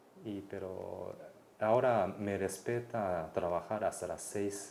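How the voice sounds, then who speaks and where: This man speaks with a Mexico City accent. His pitch is fairly low. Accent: Mexico City Spanish accent, Japanese speaker. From Japan. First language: Japanese (speaking Spanish). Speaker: anthropologist researcher. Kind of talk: interview. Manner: hesitant, many fillers.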